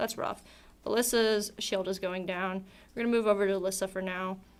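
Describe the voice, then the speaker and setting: At a moderate pace, a woman with an unremarkable speaking voice talks at medium pitch, her intonation fairly even. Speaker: esports caster. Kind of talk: live commentary. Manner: casual, filler-heavy.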